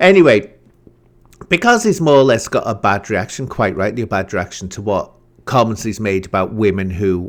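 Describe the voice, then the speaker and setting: A man with a British accent at a moderate pace. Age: 50s. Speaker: YouTube commentator. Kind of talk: reaction commentary.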